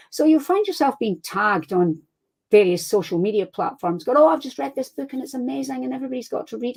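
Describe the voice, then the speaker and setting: Speaking very fast with a Scottish accent, a woman uses a fairly high pitch, very wide pitch swings and big swings in loudness. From Scotland. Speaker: crime fiction author. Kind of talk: casual interview chat. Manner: animated.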